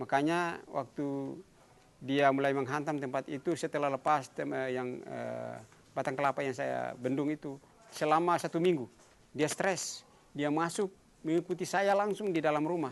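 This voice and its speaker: A man's fairly high voice keeps ordinary pitch variation and a moderate pace. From Haruku island, Central Maluku, Indonesia. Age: 60s. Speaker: traditional village guardian and environmental conservationist. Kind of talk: interview answer. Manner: casual, hesitant.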